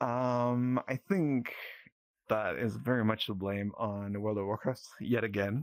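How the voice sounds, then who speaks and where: A man speaks very slowly in a fairly low voice with a slight Norwegian accent. His pitch varies normally, and the recording is very clean with a silent background. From southern Norway. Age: 30s. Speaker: avatar creator. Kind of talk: podcast interview. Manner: halting.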